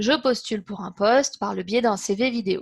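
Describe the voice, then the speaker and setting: The voice is somewhat breathy and animated, moving at a fairly slow pace with ordinary pitch variation on a very clean recording with a silent background. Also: woman. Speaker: interpreter giving a practice speech. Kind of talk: prepared practice speech. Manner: animated, moves hands a lot.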